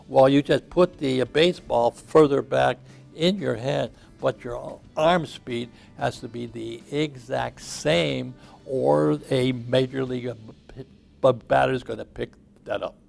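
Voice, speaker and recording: Music plays behind a man talking at a fairly slow pace. His loudness swings widely. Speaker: former baseball pitcher and public speaker. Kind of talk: interview. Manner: halting.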